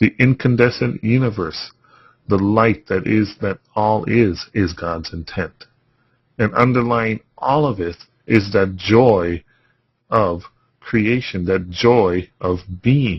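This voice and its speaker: Somewhat breathy and fairly low-pitched, a man speaks at a very slow pace with ordinary pitch variation. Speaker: spiritual healing course teacher. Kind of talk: webinar lecture. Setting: webinar. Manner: voice getting softer.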